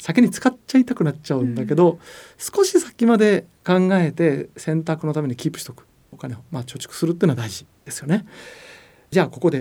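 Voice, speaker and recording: Speaking at a fairly quick pace, a man uses a high pitch with very wide pitch swings and a dark, mellow tone. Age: 50s. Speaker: economics columnist and podcast host. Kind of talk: casual educational chat.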